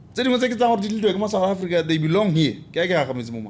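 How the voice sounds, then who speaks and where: In a Botswana accent, a man speaks at a very fast pace and high pitch with very wide pitch swings, and audible room echo. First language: Setswana. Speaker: podcast host. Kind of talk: casual interview chat.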